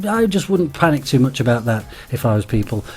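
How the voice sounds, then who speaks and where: Music plays in the background while a man speaks. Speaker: gaming YouTuber. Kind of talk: casual talk to camera.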